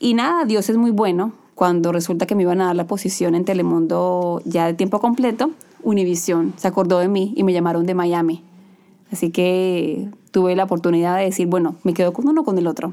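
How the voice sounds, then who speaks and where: This woman has a normal speaking voice at medium pitch, talking at a fairly quick pace with ordinary pitch variation and very even loudness. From Colombia. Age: 30s. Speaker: TV news anchor. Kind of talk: casual interview. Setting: studio.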